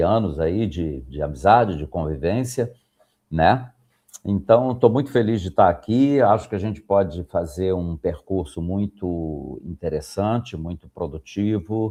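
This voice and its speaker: A man talks at a fairly slow pace in a very deep, low pitch with a dark, mellow tone. His intonation is lively. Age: 60s. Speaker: professor. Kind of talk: podcast interview. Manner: halting, many fillers.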